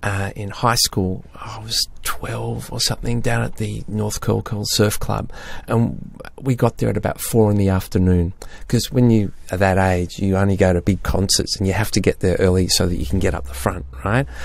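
With an Australian accent, a man speaks at a fairly low pitch and moderate pace, his intonation lively. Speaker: podcast co-host discussing music. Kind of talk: casual chat.

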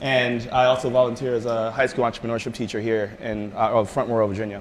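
Light background noise sits under a man's voice. He talks at a very fast pace with fairly even intonation. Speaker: presenter. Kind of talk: presentation talk. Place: meeting room. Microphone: camera far.

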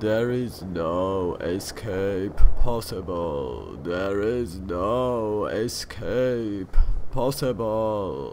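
Clear background noise sits behind a man speaking at a very slow pace, his pitch fairly low with ordinary variation. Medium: read story. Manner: ominous, repetitive.

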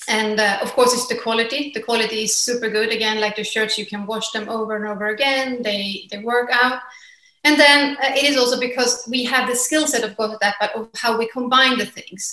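A woman with a Swedish accent talks at a fairly quick pace in a bright, sharp tone, her intonation fairly even, with audible room echo. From Sweden. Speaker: fashion entrepreneur. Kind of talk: interview. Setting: remote call. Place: home room.

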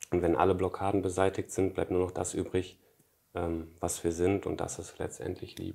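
Very deep, low male voice with a dark, mellow tone, monotone, flat intonation and a moderate pace. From western Germany, Emmerich on the Rhine (Lower Rhine); western Germany. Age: 20s. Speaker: spiritual author; interview guest. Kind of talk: interview conversation. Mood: calm, reflective. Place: home room. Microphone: lapel.

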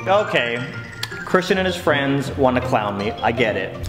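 With music in the background, a man speaks at a moderate pace, his pitch swinging very widely. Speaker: vlogger. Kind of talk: storytelling vlog. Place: home room.

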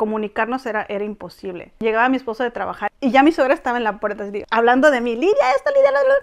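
A woman speaks at a very fast pace in a high pitch. Her intonation is lively, and the background is quiet. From Mexico, Tampico; Mexico. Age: 40s. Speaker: Mexican immigrant wife in Korea; interviewee. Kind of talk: interview, personal story. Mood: reflective, earnest. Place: home room. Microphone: lapel.

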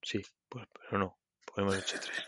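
With a bright, sharp tone, a man talks at a moderate pace in a dry, close sound with no echo. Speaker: podcast co-host, programmer. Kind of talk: casual chat.

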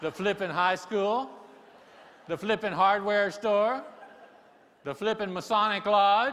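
A man talks at a fairly slow pace in a high voice. His pitch varies in an ordinary way. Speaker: keynote speaker. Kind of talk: keynote speech. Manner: humorous storytelling. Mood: humorous, warm storytelling. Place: stage. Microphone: lapel.

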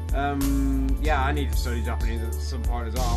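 Loud background noise runs under a man's speech. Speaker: gaming channel host. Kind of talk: casual gameplay commentary.

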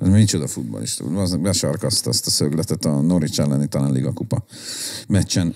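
A man with a very deep, low voice speaks at a fairly quick pace with very wide pitch swings. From Budapest, Hungary. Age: 40s. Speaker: hardcore musician and concert organizer; podcast guest. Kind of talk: casual chat. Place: home room. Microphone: studio mic.

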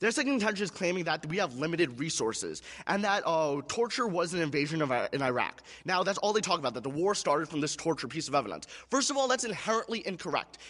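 A man talks at a very fast pace against a quiet background. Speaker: debate competitor. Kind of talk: debate rebuttal speech. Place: stage. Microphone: podium.

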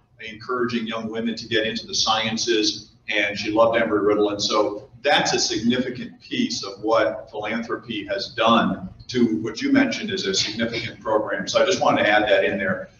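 A man talks at a fairly quick pace with hardly any pauses. Audible room echo and light background noise surround his voice. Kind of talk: speech to business audience. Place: hall. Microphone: podium.

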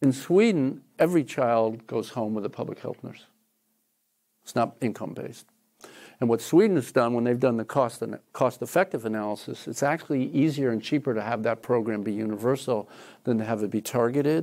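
A man with an American accent, medium pitch and a dark, mellow tone, at a fairly quick pace with ordinary pitch variation against a quiet background. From New Jersey. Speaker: professor. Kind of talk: lecture; audience Q&A. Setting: lecture hall with audience. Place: classroom. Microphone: lapel.

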